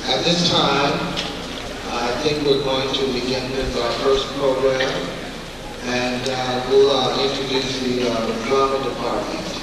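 Amid loud background noise and audible room echo, a man speaks at a fairly slow pace. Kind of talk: assembly announcement. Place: hall.

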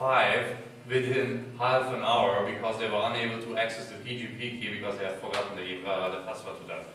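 The intonation stays fairly even. Strong room echo surrounds the voice, with light background noise. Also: man. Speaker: conference speaker. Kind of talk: talk presentation. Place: hall. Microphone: camera far.

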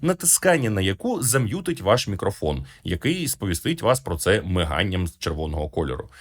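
On a very clean recording with a silent background, a somewhat breathy man talks at a fairly quick pace with very wide pitch swings. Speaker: tech reviewer. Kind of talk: product review.

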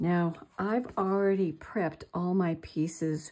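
A woman's dark, mellow tone with ordinary pitch variation over a quiet background. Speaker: crafter demonstrating. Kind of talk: tutorial.

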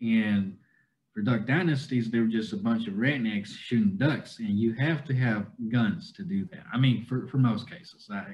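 A man with a Southern US accent speaks at a moderate pace with lively intonation, a somewhat breathy quality and big swings in loudness. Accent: adopted Southern US. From China, Kunming, Yunnan; Yunnan, China. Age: 20s. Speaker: cowboy content creator. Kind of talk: interview. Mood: relaxed, friendly. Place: home room. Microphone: video call.

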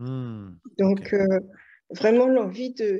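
Over a quiet background, a woman with a dark, mellow tone speaks at a fairly slow pace. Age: 40s. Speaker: client giving a weight-loss testimonial. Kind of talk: testimony.

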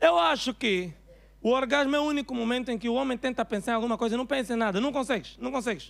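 At a very fast pace, a man with an Angolan accent speaks in an extremely high pitch with ordinary pitch variation. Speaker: stand-up comedian. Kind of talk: stand-up comedy routine. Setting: stage with audience, live comedy club. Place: stage. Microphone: handheld.

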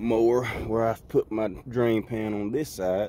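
The sound is dry with no echo, and there is light background noise. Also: man. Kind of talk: tutorial. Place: garden. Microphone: phone near.

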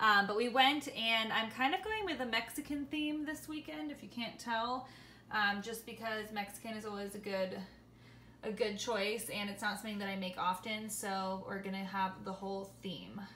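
Delivered at a moderate pace with ordinary pitch variation, the speech has audible room echo and light background noise. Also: woman. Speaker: home cooking vlogger. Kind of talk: casual vlog chat. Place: kitchen. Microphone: phone near.

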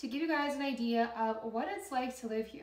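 A woman speaks at a fairly quick pace in a high voice, with ordinary pitch variation and audible room echo. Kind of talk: casual vlog chat. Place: home room.

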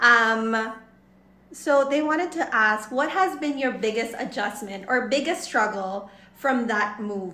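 Audible room echo hangs around a woman speaking at a fairly slow pace. Her voice is fairly high and has a bright, sharp tone. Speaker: livestream host interviewing a guest. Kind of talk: casual chat. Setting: online livestream. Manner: animated, gushing. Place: home room.

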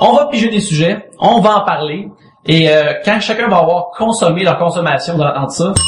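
Through noticeable background noise, a man with a Quebec accent speaks at a moderate pace, with a high pitch and ordinary pitch variation. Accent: Québécois French. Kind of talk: casual chat. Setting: studio.

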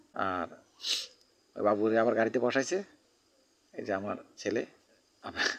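The man's pitch is fairly low, with ordinary pitch variation. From Bangladesh, Cumilla (Chauddagram). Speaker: vlogger. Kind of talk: vlog. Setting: outdoors.

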